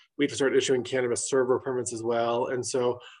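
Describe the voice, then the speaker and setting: He has a plain, everyday voice. The man talks at a fairly quick pace. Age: 40s. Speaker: state regulatory official. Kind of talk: interview.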